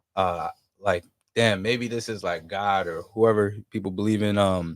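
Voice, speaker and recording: A man with a normal speaking voice, fairly low in pitch, with fairly even intonation and a fairly slow pace. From New Jersey. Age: 20s. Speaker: musician. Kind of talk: casual chat. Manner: laid-back, filler-heavy.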